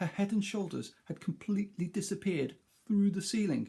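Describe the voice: The clip is plain reading aloud. The intonation stays fairly even.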